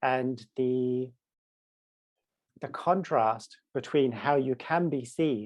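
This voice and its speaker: The man's intonation stays fairly even as he uses a normal speaking voice pitched at a medium level. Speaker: spoken word poet and voice coach. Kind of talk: interview answer.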